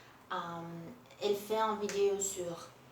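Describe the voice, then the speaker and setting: A woman is heard through noticeable background noise, her voice carrying audible room echo. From Brazil. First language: Portuguese (speaking French). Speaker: booktuber. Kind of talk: casual vlog book review. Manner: halting, many hesitations and repetitions.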